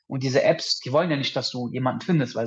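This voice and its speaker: This is a man's voice. It sounds somewhat breathy. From Düsseldorf, Germany. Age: 30s. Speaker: podcast guest, dating coaching alumnus. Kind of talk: casual chat.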